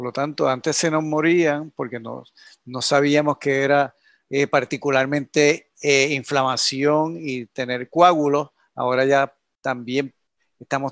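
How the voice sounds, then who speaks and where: A man with a Puerto Rican accent, fairly high in pitch, at a fairly slow pace with fairly even intonation, in a dry, close sound with no echo. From Puerto Rico, Yauco. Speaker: scientist researcher. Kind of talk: expert interview explaining data.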